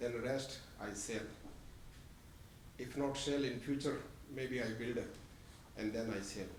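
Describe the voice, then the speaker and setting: A man speaks at a medium pitch with a non-native accent and fairly even intonation. Noticeable background noise and audible room echo are present. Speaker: property developer applicant. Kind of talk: public comment. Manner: halting.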